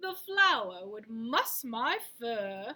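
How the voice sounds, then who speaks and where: A put-on character voice, female-sounding, fairly high-pitched, with very wide pitch swings. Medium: read story. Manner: prim, fussy.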